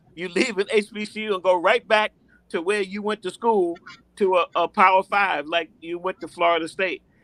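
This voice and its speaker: A man with a high pitch projects a raised voice in a bright, sharp tone at a moderate pace, the sound dry and close with no echo. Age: 60s. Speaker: sports commentator. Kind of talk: casual chat.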